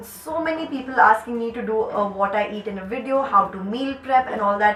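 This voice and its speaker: A woman talks at a fairly quick pace with a fairly high pitch and ordinary pitch variation. Audible room echo and noticeable background noise surround her voice. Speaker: YouTuber and dancer. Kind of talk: casual Q&A vlog. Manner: chatty, animated.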